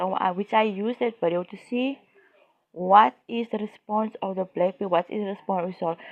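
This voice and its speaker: A woman with a South African accent speaks with ordinary pitch variation. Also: medium pitch for a woman, moderate pace. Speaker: YouTuber. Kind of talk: casual commentary monologue. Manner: halting, many fillers.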